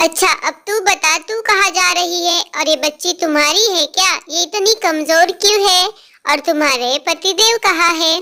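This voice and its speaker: This is a cartoonish character voice. The woman's pitch is extremely high. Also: moderate pace. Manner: emotional, plaintive.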